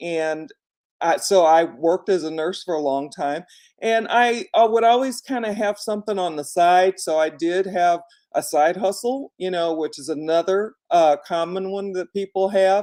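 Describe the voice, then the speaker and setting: A dark, mellow tone at a fairly slow pace with ordinary pitch variation, on a very clean recording with a silent background. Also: woman. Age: 60s. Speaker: vlogger, former nurse. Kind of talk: casual livestream talk. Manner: conversational with many fillers.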